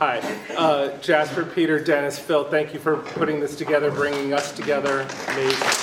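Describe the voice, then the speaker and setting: Amid crowd noise and audible room echo, a man with a fairly high pitch speaks at a fairly quick pace in a monotone, flat intonation at very even loudness. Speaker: audience member asking a question. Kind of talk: question from audience. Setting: studio presentation with audience.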